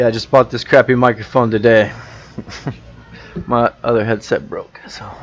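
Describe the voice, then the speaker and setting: With an American accent and monotone, flat intonation, the speaker moves at a moderate pace through long, frequent pauses and big swings in loudness, over noticeable background noise. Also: man, medium pitch for a man. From US South. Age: 30s. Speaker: flat-earth theorist, channel owner. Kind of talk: casual debate. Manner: relaxed. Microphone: cheap new microphone.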